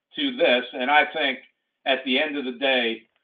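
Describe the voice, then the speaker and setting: This man talks at a moderate pace. His voice is fairly high. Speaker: retirement plan expert presenter. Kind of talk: webinar presentation. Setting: online webinar. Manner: animated.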